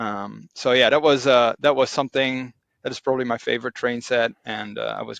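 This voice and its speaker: A man with a Dutch accent talks at a moderate pace in a dry, close sound with no echo. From Netherlands. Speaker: Lego hobbyist. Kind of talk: casual chat. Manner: halting, many fillers.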